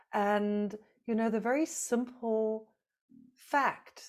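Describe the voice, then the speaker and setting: A woman talks at a very slow pace. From South Africa. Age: 50s. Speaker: nonprofit leader in collective trauma healing. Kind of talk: podcast interview. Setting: video call.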